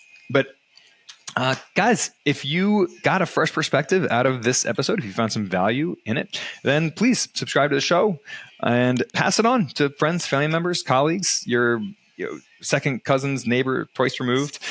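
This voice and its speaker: This man speaks with an American accent at a moderate pace. His pitch is fairly high, and his intonation is lively. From United States. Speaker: real estate investing podcast host. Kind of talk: casual podcast discussion; podcast outro with promotion. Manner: hesitant, many fillers.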